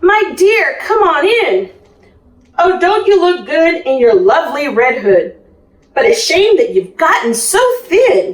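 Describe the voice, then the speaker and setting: In a put-on character voice pitched extremely high, a woman speaks at a fairly slow pace. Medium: read story.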